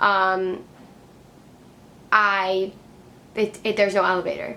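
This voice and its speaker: A woman with an American accent talks in a bright, sharp tone. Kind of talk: vlog, casual talk to camera. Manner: casual, many fillers.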